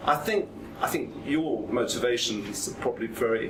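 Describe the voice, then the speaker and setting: Noticeable background noise and audible room echo surround this recording. The speaker is a man with a British accent. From Britain. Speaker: journalist, panellist. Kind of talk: panel debate. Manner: halting, many fillers and repetitions.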